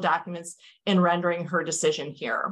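An ordinary speaking voice belongs to this woman, who talks at a moderate pace and medium pitch. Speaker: lawyer for the plaintiff. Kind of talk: courtroom oral argument before appellate judges, formal and measured; legal oral argument. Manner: formal. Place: hall.

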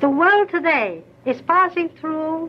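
The woman talks at a fairly slow pace. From China. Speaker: former court interpreter and lady-in-waiting. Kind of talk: formal public speech for newsreel. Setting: 1930 newsreel sound film recording. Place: studio. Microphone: old recording.

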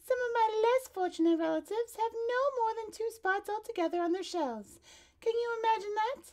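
Someone speaks at a moderate pace in a put-on character voice. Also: woman, extremely high pitch for a woman. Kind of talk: children's read-aloud. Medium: read story. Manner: modest, genteel, a little snobbish.

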